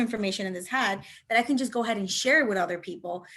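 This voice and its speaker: Very fast speech with lively intonation comes in a Spanish accent. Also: woman. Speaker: real estate agent and instructor. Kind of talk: interview.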